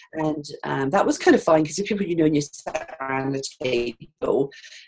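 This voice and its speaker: A woman with a British accent speaks at a moderate pace. Her fairly low pitch carries lively intonation. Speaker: financial adviser. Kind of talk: interview. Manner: hesitant, many fillers.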